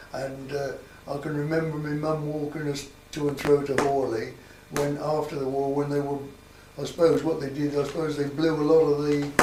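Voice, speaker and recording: Over noticeable background noise and audible room echo, a man with a Sussex accent speaks at a moderate pace in a fairly high pitch with flat, monotone intonation. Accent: rural Sussex English. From southern England, Sussex (Copthorne area). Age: 80s+. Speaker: local elder interviewed about village history. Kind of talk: oral history interview. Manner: halting, with many repetitions.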